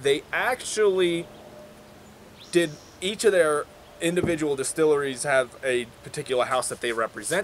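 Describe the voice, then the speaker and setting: With a New York accent and lively intonation, the speaker talks at a fairly slow pace over noticeable background noise. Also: man. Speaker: whiskey reviewer. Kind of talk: casual review chat.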